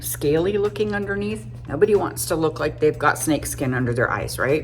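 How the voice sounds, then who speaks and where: A woman with a very deep, low voice talks at a moderate pace amid noticeable background noise. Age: 50s. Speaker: makeup artist. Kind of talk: tutorial. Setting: home makeup studio. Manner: casual, chatty.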